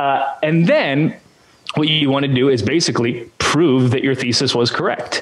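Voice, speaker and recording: This man, with a Canadian accent, speaks at a moderate pace in a fairly high pitch, with ordinary pitch variation and very even loudness. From Canada. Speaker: church communications consultant; interview guest. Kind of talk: interview. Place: home room. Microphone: studio mic.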